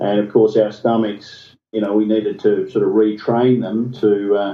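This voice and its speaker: A man with an Australian accent, fairly low-pitched, monotone and flat, at a moderate pace. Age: 50s. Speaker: interview guest, health recovery story. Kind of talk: podcast interview. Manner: hesitant, with repeated words.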